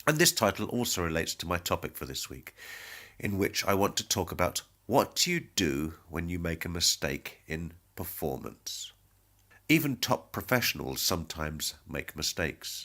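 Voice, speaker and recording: A very clean recording with a silent background of a man in a British accent, very deep and low with vocal fry and ordinary pitch variation. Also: moderate pace. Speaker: music teacher. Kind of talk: podcast talk.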